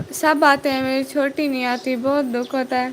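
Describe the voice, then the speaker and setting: A woman with a high-pitched voice speaks in a flat monotone over noticeable background noise. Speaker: vlogger. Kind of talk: live stream chat. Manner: casual, chatty.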